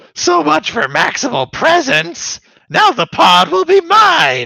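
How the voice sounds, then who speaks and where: A man's put-on character voice, raised and projected, raspy and strained, at an extremely high pitch and a fairly slow pace. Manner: screaming, gloating.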